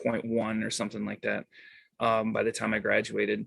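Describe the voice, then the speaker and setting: His pitch rests in a medium range. The man speaks with an American accent. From Montana. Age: 30s. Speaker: podcaster and activist. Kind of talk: casual interview. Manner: hesitant, many fillers.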